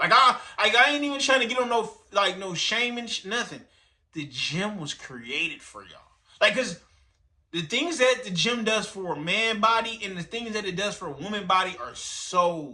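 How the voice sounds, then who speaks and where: A high-pitched man uses a raised, projected voice with big swings in loudness. His tone is animated, bright and sharp, with lively intonation. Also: moderate pace. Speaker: streamer reacting to videos. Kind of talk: reaction commentary.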